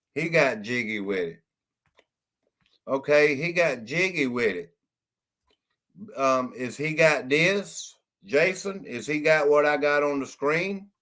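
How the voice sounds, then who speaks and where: Loud and bright with a sharp tone, a man speaks at a fairly high pitch. His pace is very slow, broken by long, frequent pauses. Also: lively intonation. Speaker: live stream host. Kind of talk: live stream chat.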